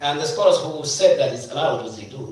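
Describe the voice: A man speaks at a moderate pace with a slightly mellow tone and ordinary pitch variation, his voice carrying strong room echo.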